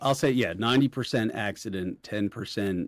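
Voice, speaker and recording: A man with a Philadelphia accent, fairly low in pitch, at a fairly quick pace with ordinary pitch variation, in a very clean recording over a silent background. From Philadelphia, US. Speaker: family law attorney, firm founder. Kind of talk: casual interview chat. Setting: in-person interview.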